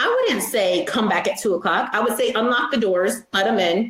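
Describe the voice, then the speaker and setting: A woman talks at a fairly quick pace. Her pitch is fairly high and her intonation fairly even. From western New York (Rochester). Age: 30s. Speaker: judge. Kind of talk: interview. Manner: fast.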